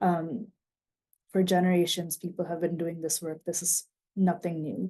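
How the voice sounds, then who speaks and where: Dark and mellow in tone, a woman with a fairly low pitch speaks at a moderate pace in monotone, flat intonation, sounding somewhat breathy. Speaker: nonprofit advocate presenter. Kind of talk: conference presentation.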